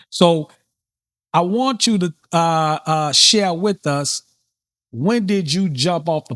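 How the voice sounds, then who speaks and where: A man speaks in a New Orleans accent with ordinary pitch variation. The sound is dry and close, with no echo. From New Orleans, US South. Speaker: podcast host. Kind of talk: casual interview chat. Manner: unscripted, occasionally stumbling.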